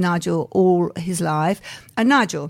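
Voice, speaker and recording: In a very clean recording with a silent background, a woman with an English accent speaks at a medium pitch with ordinary pitch variation. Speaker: pantomime producer and performer. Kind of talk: interview.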